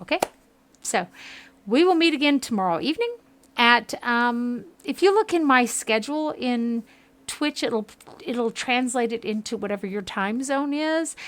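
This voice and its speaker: A woman speaks at a moderate pace in a high pitch with an American accent. Her intonation is lively, broken by long, frequent pauses. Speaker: gaming streamer. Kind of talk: live game stream with reading of dialogue aloud. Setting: home kitchen.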